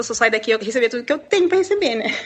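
A woman is speaking. Her voice sits high in pitch. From Brazil, Paraná (Londrina). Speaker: expat economist and former prison officer. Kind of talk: interview.

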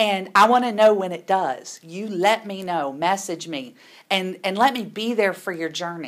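A woman speaks at a medium pitch with ordinary pitch variation and big swings in loudness. The recording is very clean, with a silent background. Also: moderate pace. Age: 40s. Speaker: nurse educator and show host. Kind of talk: casual monologue to camera.

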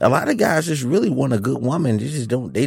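Vocal fry and lively intonation come through in a dry, close recording with no echo. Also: man. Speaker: co-host. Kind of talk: casual chat.

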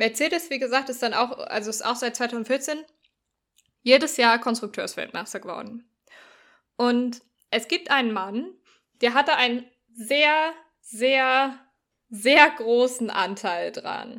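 A woman's high-pitched voice, bright and sharp in tone, at a very slow pace with long, frequent pauses and ordinary pitch variation. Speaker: sports podcast co-host. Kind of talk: casual explanatory chat. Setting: remote recording. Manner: animated.

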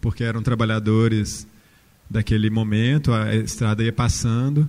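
A man speaks in a dark, mellow tone. His intonation is monotone and flat, and his pace is fairly slow. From interior of Minas Gerais, Brazil. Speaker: architect and university professor. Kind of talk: panel talk.

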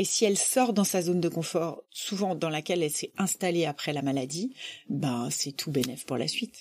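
A woman speaks in an animated tone at a moderate pace. Her fairly low voice carries lively intonation. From rural France. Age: 50s. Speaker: charity president. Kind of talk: interview.

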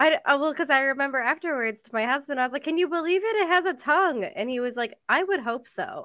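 A woman's very fast, raised and projected voice, high-pitched with a bright, sharp tone and hardly any pauses. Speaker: expectant mother. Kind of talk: casual chat.

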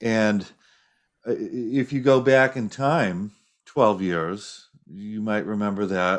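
A man with an ordinary speaking voice, fairly low in pitch, with ordinary pitch variation. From United States. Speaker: political scientist. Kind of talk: interview.

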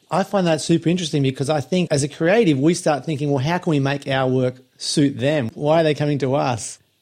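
A man in a plain, everyday voice talks at a fairly quick pace with ordinary pitch variation and hardly any pauses. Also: fairly high pitch for a man, very even loudness. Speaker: podcast host. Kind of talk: casual interview.

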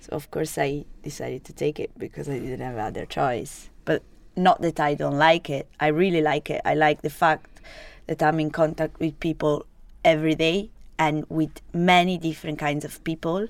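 Very cleanly recorded against a silent background, a woman with a very deep, low pitch and an Italian accent speaks at a moderate pace with fairly even intonation and big swings in loudness. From Italy (Genoa, Sardinian family). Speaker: online student and restaurant worker. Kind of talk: interview. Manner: halting.

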